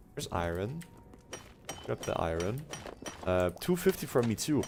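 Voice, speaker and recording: There is noticeable background noise as a man speaks at a medium pitch. His pitch swings very widely. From Switzerland. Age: 20s. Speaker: gaming streamer. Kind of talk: casual chat. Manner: halting.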